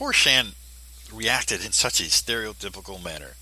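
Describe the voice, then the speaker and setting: Bright, sharp in tone and marked by vocal fry, a man's voice moves at a moderate pace. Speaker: commentator. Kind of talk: commentary monologue. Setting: poor home recording.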